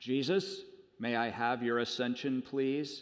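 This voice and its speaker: A booming, put-on character voice from a man, medium in pitch and fairly slow in pace. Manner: grand, booming.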